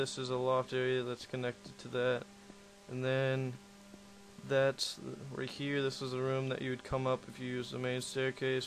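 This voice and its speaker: Here a man at medium pitch speaks in a monotone, flat way. He keeps a moderate pace over noticeable background noise. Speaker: gaming video creator. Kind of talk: game build showcase narration. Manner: casual, hesitant.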